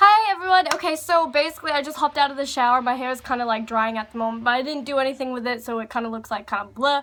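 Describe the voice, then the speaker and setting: A woman with an American accent talks very fast at a high pitch with lively intonation and hardly any pauses. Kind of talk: casual talk to camera.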